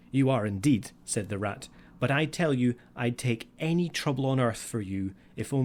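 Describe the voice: The clip is plain reading aloud, and its intonation is lively.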